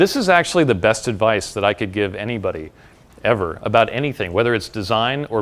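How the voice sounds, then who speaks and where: A man with an American accent talks at a very fast pace in a medium pitch, his intonation lively, on a very clean recording with a silent background. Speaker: tech designer and speaker. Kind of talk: talk to an audience. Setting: stage with audience.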